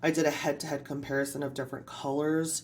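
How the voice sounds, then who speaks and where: A woman's very deep, low voice at a fairly quick pace. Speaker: art YouTuber. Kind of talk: tutorial. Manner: animated; fast.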